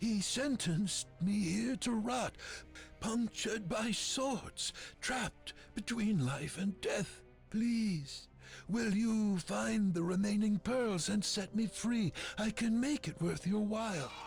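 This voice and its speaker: A put-on character voice, fairly high-pitched and at a fairly slow pace, speaks with clear music playing in the background. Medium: video game.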